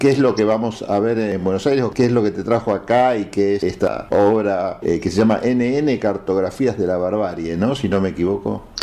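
Against noticeable background noise, a man speaks at a moderate pace with hardly any pauses. His pitch is fairly low, with ordinary variation. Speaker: radio host. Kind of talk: interview.

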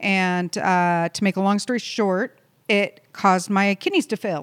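On a very clean recording with a silent background and a dry, close sound with no echo, a woman with an ordinary speaking voice talks at a moderate pace with medium pitch and fairly even intonation. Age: 40s. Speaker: podcast co-host, hemp company operations director. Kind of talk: casual chat. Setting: office.

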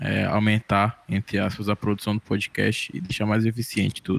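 The recording is very clean with a silent background, and the sound is dry and close with no echo. It carries an unremarkable speaking voice at a moderate pace. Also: man. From Sobral, Ceará, Brazil. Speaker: music student and podcast editor. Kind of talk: casual chat.

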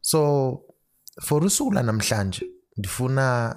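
Over a silent background in a very clean recording, a man speaks with a South African accent. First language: Xhosa. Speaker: financial planner. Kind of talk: solo podcast explainer. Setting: alone at home at night.

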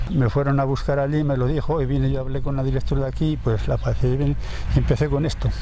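A man at a very fast pace, with noticeable background noise and audible room echo. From Spain, Segovia province. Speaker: retired urban gardener. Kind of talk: casual interview.

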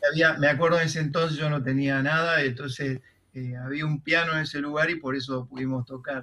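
At a fairly quick pace, a man with a fairly high voice speaks in a flat monotone. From Argentina, southern Santa Fe province. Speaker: composer and music teacher. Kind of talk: interview. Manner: halting.

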